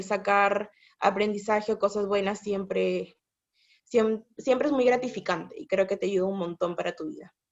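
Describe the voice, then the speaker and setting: This woman has an ordinary speaking voice at a medium pitch. She talks fairly slowly, and her loudness swings widely. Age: 20s. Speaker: psychologist. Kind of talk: casual chat.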